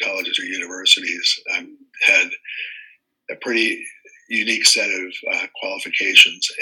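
The speaker is a man with an American accent. He talks at a moderate pace. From US East Coast. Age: 70s. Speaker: congressional candidate and city council member. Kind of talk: interview.

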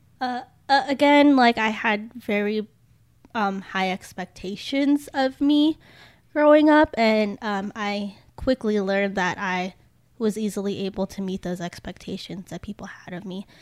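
A woman with an ordinary speaking voice talks at a fairly slow pace and fairly high pitch, her intonation lively and her loudness swinging widely. The recording is very clean, with a silent background and a dry, close sound with no echo. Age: 20s. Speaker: recent college graduate discussing environment. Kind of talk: casual chat.

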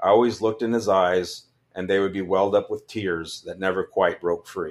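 Fairly low in pitch, a man speaks with an American accent at a fairly quick pace and fairly even intonation in a plain, everyday voice. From California, San Joaquin Valley. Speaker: army veteran and funeral director. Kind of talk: reading aloud own memoir.

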